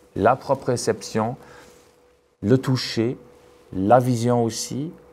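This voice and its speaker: The speaker has a non-native accent and talks at a very slow pace with fairly even intonation. The recording is very clean, with a silent background. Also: man, medium pitch for a man. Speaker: neuroscientist and physician, seminar speaker. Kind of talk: academic talk. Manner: hesitant, many repetitions and fillers.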